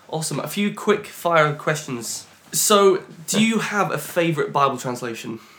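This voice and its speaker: A man speaks with lively intonation at a fairly high pitch, with noticeable background noise behind him. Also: moderate pace. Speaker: podcast host. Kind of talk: podcast interview and scripture reading.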